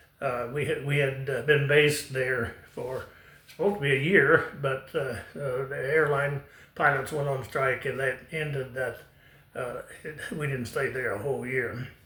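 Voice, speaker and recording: Fairly even intonation from a man with a bright, sharp tone, plus audible room echo. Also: fairly high pitch for a man, moderate pace. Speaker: retired airline pilot. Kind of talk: personal storytelling. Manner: halting, many fillers.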